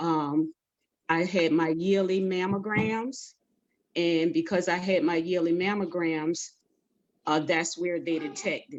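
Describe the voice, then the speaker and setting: Long, frequent pauses break up a woman's fairly slow speech, her voice fairly low and her intonation fairly even. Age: 60s. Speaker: breast cancer survivor panelist. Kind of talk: testimony. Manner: halting.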